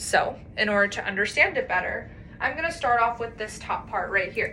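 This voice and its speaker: A woman with a fairly high pitch speaks at a moderate pace with lively intonation, amid noticeable background noise and audible room echo. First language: Polish. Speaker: student. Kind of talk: class presentation rehearsal. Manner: formal.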